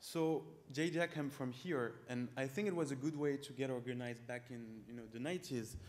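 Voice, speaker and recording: A man with a strong French accent speaks at a fairly quick pace. His pitch is medium and varies in an ordinary way. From France. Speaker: startup founder. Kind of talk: startup pitch with live demo.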